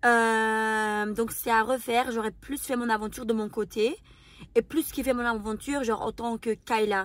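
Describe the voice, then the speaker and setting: Speaking at a fairly slow pace, a woman with a non-native accent has a fairly high pitch. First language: not French (speaking French). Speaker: YouTuber and reality TV contestant. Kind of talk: Q&A interview. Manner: very expressive; mannered speech.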